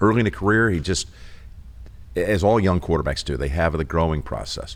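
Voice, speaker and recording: A man with a very deep, low pitch and vocal fry speaks very fast, his intonation lively. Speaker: sportscaster. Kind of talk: interview answer. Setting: studio.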